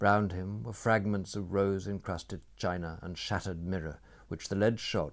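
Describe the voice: The text is read aloud plainly, the intonation fairly even.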